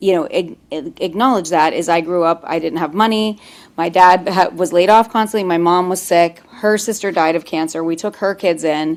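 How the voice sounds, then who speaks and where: With an American accent, a woman talks in a plain, everyday voice, fairly low in pitch with ordinary pitch variation and hardly any pauses. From US Northeast, Pittsburgh. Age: 40s. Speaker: mental health professional. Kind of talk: webinar conversation. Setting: video call. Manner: fast, run-on speech.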